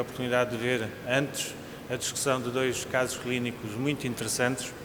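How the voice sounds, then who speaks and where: Audible room echo and clear background noise around speech at a medium pace. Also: man. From Portugal. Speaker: cardiologist, invited speaker. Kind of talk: lecture. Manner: formal.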